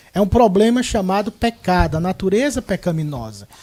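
The man's voice sits high in pitch and carries a dark, mellow tone. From Ceará, Brazil. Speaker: pastor. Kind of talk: religious panel discussion. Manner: formal.

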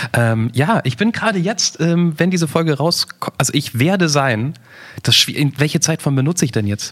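At a moderate pace, a man talks in a plain, everyday voice, fairly high in pitch and very even in loudness. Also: lively intonation. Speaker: podcast host. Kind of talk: casual chat.

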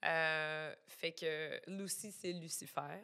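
A woman speaks with a Quebec accent at a very slow pace. Her intonation stays fairly even. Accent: Québécois French. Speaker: illustrator and plush designer. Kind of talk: casual chat.

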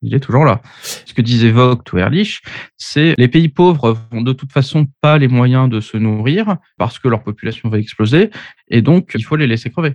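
This man has a normal speaking voice with medium pitch and lively intonation at a moderate pace. The sound is dry and close, with no echo. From Paris, France. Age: 30s. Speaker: engineer and author. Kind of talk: podcast interview.

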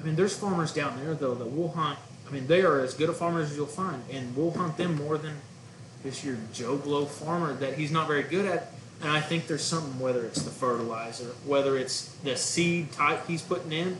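A fairly high-pitched man's voice with an American accent, ordinary pitch variation and a fairly quick pace, amid noticeable background noise and audible room echo. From Oklahoma, Guthrie. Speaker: duck hunting outfitter and caller. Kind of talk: casual chat.

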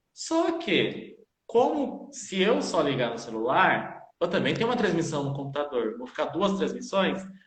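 The voice moves through very wide pitch swings at a fairly slow pace, with audible room echo. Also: man, high pitch for a man. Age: 20s. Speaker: dance teacher and choreographer. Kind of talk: live-streamed interview.

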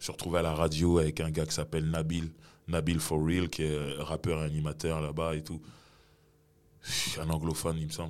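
A man's very deep, low pitch in a monotone, flat intonation, broken by long, frequent pauses. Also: fairly quick pace. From Sarcelles, Paris suburbs, France. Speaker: rapper. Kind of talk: casual interview.

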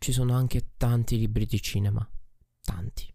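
On a very clean recording with a silent background, a man of medium pitch speaks at a fairly slow pace in a dark, mellow, somewhat breathy tone with fairly even intonation. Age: 20s. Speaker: podcaster and streamer. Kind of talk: personal monologue. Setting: recording alone at night at his desk. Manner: reflective.

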